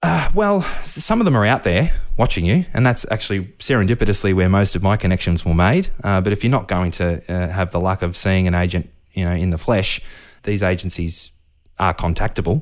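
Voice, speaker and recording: A man with a very deep, low pitch and an Australian accent, a fairly quick pace, ordinary pitch variation, and a very clean recording over a silent background. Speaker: professional musician. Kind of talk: interview.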